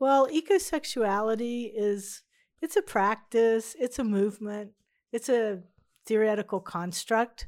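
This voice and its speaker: A woman with an unremarkable speaking voice and fairly high pitch talks at a fairly slow pace with ordinary pitch variation, on a very clean recording with a silent background. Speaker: university professor and artist. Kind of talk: casual interview chat.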